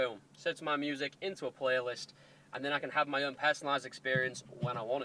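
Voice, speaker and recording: Heard in a dry, close sound with no echo, a man with a Hull accent speaks at a fairly quick pace with a bright, sharp tone and a fairly high pitch. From Hull, England. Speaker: car modifier YouTuber. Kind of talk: casual talk to camera. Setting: in a car.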